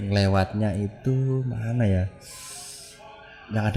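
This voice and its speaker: Music plays in the background as a man talks. His voice is fairly low and relaxed in tone. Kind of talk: casual podcast conversation, retelling mountain-hiking horror stories. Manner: relaxed, conversational.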